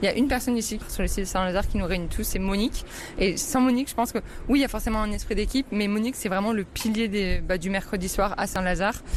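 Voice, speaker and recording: Her delivery is very fast, with ordinary pitch variation. Noticeable background noise sits behind the woman's voice. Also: medium pitch for a woman. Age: 20s. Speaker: trainee lawyer and food bank volunteer. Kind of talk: interview testimony. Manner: hesitant with fillers.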